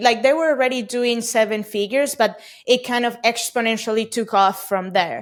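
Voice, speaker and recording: A woman's fairly high-pitched voice with a Spanish accent. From Venezuela. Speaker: e-commerce company CEO. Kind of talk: podcast interview.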